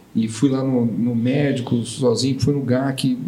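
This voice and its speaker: Audible room echo colors the recording. A man talks at a medium pitch. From São Paulo, Brazil. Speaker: tech startup founder, bereaved father. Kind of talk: podcast interview.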